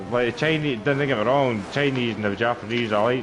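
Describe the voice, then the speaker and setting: Over noticeable background noise and audible room echo, a man talks at a fairly quick pace with a medium pitch and ordinary pitch variation. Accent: central Scottish. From Scotland, Stirling. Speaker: sim racing league commentator. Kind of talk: live commentary; casual chat.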